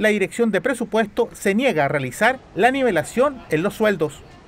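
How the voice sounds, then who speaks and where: The man's pitch is high. His intonation is lively. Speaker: news reporter. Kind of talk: news reading. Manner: formal.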